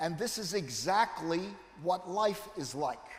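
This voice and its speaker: A man with an American accent and a high pitch speaks at a very slow pace, with ordinary pitch variation. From United States. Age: 70s. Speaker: neurology professor. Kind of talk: lecture.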